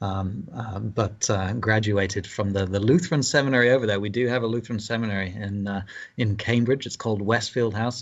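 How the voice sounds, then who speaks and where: A man with a British accent at a fairly low pitch, fairly quick and with hardly any pauses, ordinary pitch variation throughout. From England (London). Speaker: pastor. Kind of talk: interview conversation. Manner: halting, many fillers.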